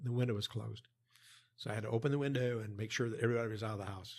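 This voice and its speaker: An American accent, somewhat breathy, on a very clean recording with a silent background. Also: man. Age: 70s. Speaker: former US Army worker, long-time expat. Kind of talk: interview, storytelling. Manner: halting.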